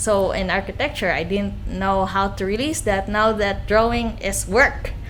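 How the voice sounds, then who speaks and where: Music plays behind a woman who speaks at a fairly slow pace, with a medium pitch and fairly even intonation. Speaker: guest, artist. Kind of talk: podcast interview answer, personal story. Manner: soft-spoken.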